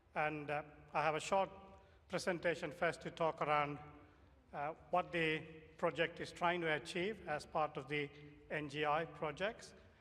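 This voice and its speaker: Loud and monotone, a man with a fairly high pitch and a bright, sharp tone speaks at a moderate pace with long, frequent pauses. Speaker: professor of security engineering, workshop moderator. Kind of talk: conference presentation. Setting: conference workshop with audience and microphone.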